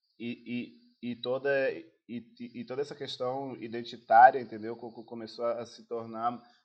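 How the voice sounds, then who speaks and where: Medium-pitched male speech at a fairly slow pace. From Angola. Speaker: actor and film producer. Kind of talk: interview. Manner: halting, many repeated words.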